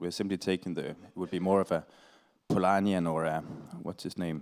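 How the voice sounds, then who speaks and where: A man's very deep, low voice in a Danish accent, very fast and flat in a monotone, on a very clean recording with a silent background. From Denmark (Aarhus). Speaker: panel speaker, climate activist. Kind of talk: panel Q&A answer. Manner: halting.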